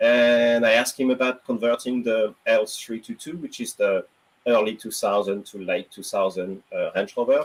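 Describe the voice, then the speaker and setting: A man with a French accent at a moderate pace, his loudness swinging widely. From France. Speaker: automotive journalist and EV consultant. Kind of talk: casual chat.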